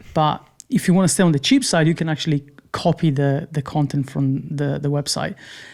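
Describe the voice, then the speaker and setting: Fairly even intonation carries words delivered at a fairly quick pace. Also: man, fairly high pitch for a man. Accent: non-native. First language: not English. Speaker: UI/UX designer. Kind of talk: podcast interview answer.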